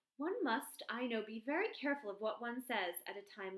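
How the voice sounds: The passage comes in a natural reading voice.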